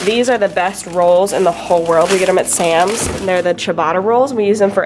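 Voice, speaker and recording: A woman with ordinary pitch variation amid noticeable background noise. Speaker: lifestyle vlogger. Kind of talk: casual vlog chat. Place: kitchen. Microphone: phone near.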